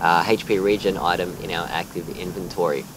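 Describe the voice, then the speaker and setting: A man with an Australian accent and ordinary pitch variation, over noticeable background noise. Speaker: gaming YouTuber. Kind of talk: gameplay commentary narration. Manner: halting, many fillers.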